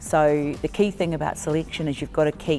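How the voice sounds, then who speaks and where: A woman's very deep, low voice with vocal fry, a New Zealand accent, fairly even intonation, and a moderate pace. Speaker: netball coach and consultant. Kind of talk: interview.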